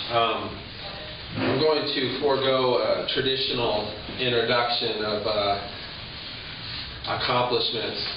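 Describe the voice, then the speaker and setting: A man speaks fairly slowly in a flat, medium-pitched monotone, with long, frequent pauses, audible room echo and noticeable background noise. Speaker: professor. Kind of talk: event introduction. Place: hall. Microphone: camera far.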